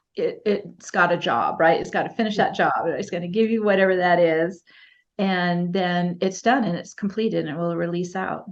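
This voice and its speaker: A woman with an unremarkable speaking voice, medium pitch and fairly even intonation. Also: moderate pace. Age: 60s. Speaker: spiritual healer and teacher. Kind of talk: interview.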